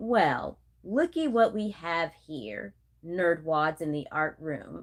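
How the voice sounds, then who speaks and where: Cackling in a put-on character voice, a woman speaks at a very slow pace. Her pitch is fairly low and swings very widely. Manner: ominous, cackling.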